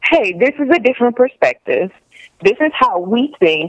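A woman with an American accent at a moderate pace, her pitch swinging very widely. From US South, Virginia. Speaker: comedian. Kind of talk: casual chat. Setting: phone call.

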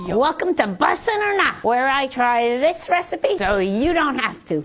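A woman uses a high-pitched, put-on character voice with very wide pitch swings. She talks at a moderate pace over clear background music.

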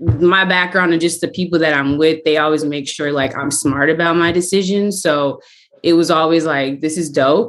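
A woman's plain, everyday voice, fairly low in pitch, at a moderate pace. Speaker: actress. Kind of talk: casual chat.

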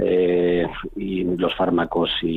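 Noticeable background noise sits behind a man whose voice is very deep and low in pitch. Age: 60s. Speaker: cardiologist. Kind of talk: radio interview. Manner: hesitant, with many fillers.

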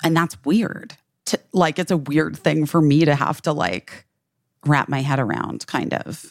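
A woman's very deep, low voice with vocal fry and lively intonation, at a fairly slow pace. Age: 40s. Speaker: podcast co-host. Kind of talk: casual chat.

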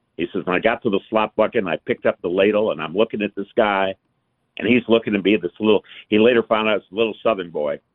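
A man with an American accent, fairly low in pitch, at a very fast pace. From US North (Michigan). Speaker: retired businessman. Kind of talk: radio call-in.

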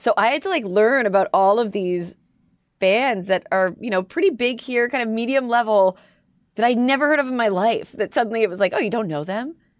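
In a Canadian accent, a plain, everyday voice moves at a fairly quick pace with lively intonation. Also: woman, fairly high pitch for a woman. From Canada. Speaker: radio host. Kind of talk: casual interview chat.

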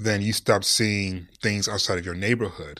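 In a normal speaking voice with an American accent, a man talks at a moderate pace, his fairly low pitch showing ordinary variation. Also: very clean recording, silent background. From Detroit, US Midwest. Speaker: sports journalist and broadcaster. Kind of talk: casual interview.

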